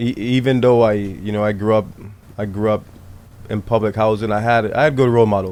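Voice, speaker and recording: Speaking in a Virgin Islands accent, a man with a fairly low pitch and monotone, flat intonation talks at a moderate pace, with long, frequent pauses. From US Virgin Islands (Saint Thomas). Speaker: baseball coach, former pro player. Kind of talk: podcast interview.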